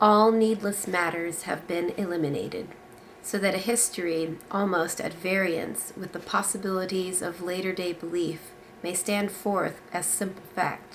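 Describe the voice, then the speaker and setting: A woman at a medium pitch and moderate pace, with noticeable background noise. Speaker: book reviewer. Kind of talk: reading aloud from a novel.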